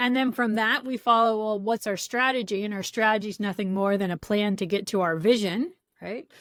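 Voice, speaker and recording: On a very clean recording with a silent background, a woman with an American accent uses a normal speaking voice, fairly high in pitch with ordinary pitch variation, at a fairly quick pace. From US, San Francisco Bay Area. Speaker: product coach and trainer. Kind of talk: interview.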